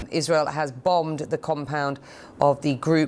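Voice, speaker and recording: A woman with a London accent speaks in a very deep, low pitch and a monotone, flat intonation. Her pace is fairly slow on a very clean recording with a silent background. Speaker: news anchor. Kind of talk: live news broadcast.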